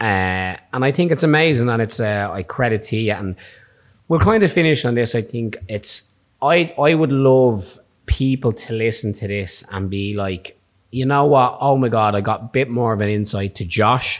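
In a Dublin accent, a man speaks at a moderate pace and medium pitch with ordinary pitch variation, on a very clean recording with a silent background. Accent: Irish (Dublin). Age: 30s. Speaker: barber and podcast host. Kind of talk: casual chat.

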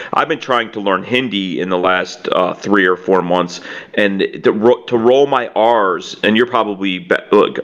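Speaking with an American accent, a man with a fairly low pitch and ordinary pitch variation talks at a fairly slow pace over noticeable background noise. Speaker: podcast co-host and scambaiter. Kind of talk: casual interview chat. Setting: online call.

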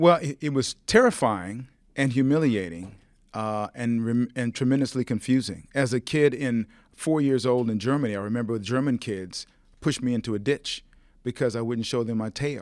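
A man with an unremarkable speaking voice talks at a moderate pace, medium in pitch with ordinary variation. The recording is very clean, with a silent background. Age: 60s. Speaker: TV personality. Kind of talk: casual chat. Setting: studio.

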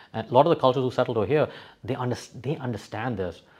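The background is quiet. A man talks at a medium pitch with ordinary pitch variation. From Dubai, UAE. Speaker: crypto exchange regional representative. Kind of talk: interview conversation, casual and business. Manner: casual, filler-heavy, repetitive.

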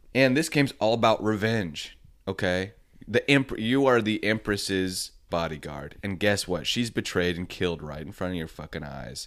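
A man's animated, lively voice, fairly low in pitch, at a moderate pace with big swings in loudness, in a very clean recording over a silent background. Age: 30s. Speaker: podcast co-host. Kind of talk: casual chat.

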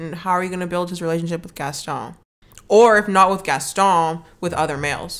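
Using a plain, everyday voice, a woman speaks at a fairly quick pace with fairly even intonation and big swings in loudness. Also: fairly low pitch for a woman. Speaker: podcast host. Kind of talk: casual chat.

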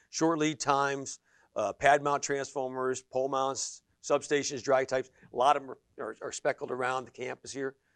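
In an American accent, a man speaks at a fairly high pitch and moderate pace with monotone, flat intonation and big swings in loudness, the sound dry and close with no echo over a quiet background. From western Pennsylvania (Sharon area). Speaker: energy business owner and property developer. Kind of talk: interview. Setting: studio.

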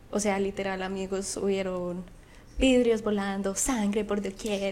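In an ordinary speaking voice, a woman talks at a fairly slow pace with medium pitch. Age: 20s. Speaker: podcast co-host. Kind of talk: casual chat.

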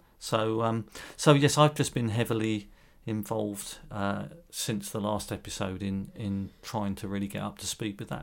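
A man with a British accent and a fairly low pitch speaks at a moderate pace on a very clean recording with a silent background. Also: ordinary pitch variation. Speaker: podcast co-host, wildlife volunteer. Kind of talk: casual chat.

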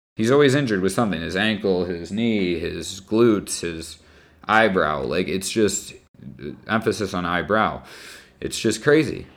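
Speaking at a moderate pace with ordinary pitch variation, a man has a normal speaking voice and an American accent. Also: fairly low pitch for a man. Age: 20s. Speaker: teacher and sports podcaster. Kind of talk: solo opinion podcast.

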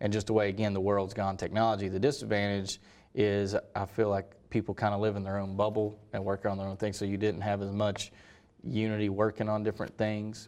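Against a quiet background, a man speaks fairly quickly in a fairly low, monotone, flat voice. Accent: American. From North Carolina, Hendersonville. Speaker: sports broadcaster, university athletics media director. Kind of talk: interview. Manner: halting, many fillers.

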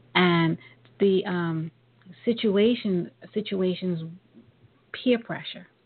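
A woman with a New York accent, at a very slow pace, with long, frequent pauses and ordinary pitch variation. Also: medium pitch for a woman. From Brooklyn, New York. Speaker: talk radio host. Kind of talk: radio interview.

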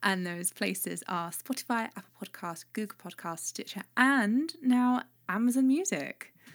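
A woman with a fairly high pitch speaks in an animated tone with lively intonation and big swings in loudness, at a fairly slow pace with hardly any pauses, on a very clean recording with a silent background. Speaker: podcast host. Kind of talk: casual chat. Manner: animated, jokey.

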